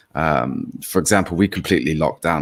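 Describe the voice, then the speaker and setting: In an English accent, a man talks at a moderate speed. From England. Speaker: political commentary co-host. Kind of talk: live stream chat. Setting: live stream with chat.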